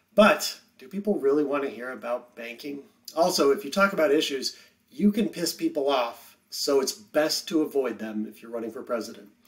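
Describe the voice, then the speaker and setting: Against a quiet background, the speaker moves at a moderate pace with lively intonation. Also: man, big swings in loudness. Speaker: history teacher. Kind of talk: lecture. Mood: wry, informal. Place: home room.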